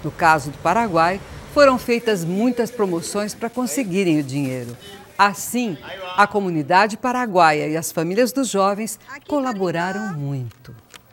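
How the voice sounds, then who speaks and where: Over noticeable background noise, a woman at a medium pitch talks at a fairly slow pace with very wide pitch swings. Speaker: video narrator. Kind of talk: scripted narration.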